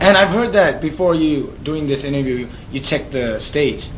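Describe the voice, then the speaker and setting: Amid noticeable background noise and audible room echo, a man speaks at a moderate pace in a fairly high pitch with lively intonation. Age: young. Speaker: TV music interviewer. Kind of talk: celebrity interview. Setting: backstage at a festival. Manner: halting.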